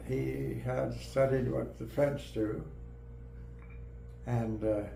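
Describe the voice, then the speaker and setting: Noticeable background noise sits behind the speaker. A man talks at a very slow pace. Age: 80s+. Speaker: mycologist, professor emeritus. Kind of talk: interview answer. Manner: slow, hesitant.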